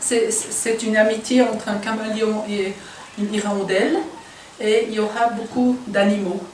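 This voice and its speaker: A woman speaks at a fairly high pitch and a fairly slow pace, monotone and flat. Room echo and noticeable background noise can be heard. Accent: German. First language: German (speaking French). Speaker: humanitarian volunteer. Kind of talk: casual explanation.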